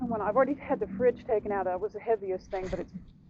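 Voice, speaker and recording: A woman with an American accent speaks at a very fast pace and a medium pitch, with noticeable background noise behind her. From Louisiana. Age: 60s. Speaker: person living in an RV. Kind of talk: casual chat. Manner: animated.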